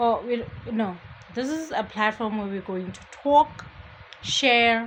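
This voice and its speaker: A woman mumbles at a very slow pace in a fairly high pitch, with noticeable background noise behind her. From Botswana. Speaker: podcast host. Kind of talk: casual monologue. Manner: mumbling; chatty.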